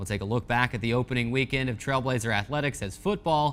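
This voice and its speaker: The speaker has an upbeat, energetic tone, a fairly quick pace and ordinary pitch variation. Music plays in the background. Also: man. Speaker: sports media relations assistant and radio play-by-play announcer. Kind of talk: sports TV show host intro. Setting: television studio.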